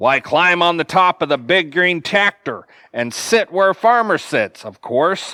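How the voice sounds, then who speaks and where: A man uses a put-on character voice at a high pitch and a fairly slow pace. The recording is very clean, with a silent background. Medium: read story.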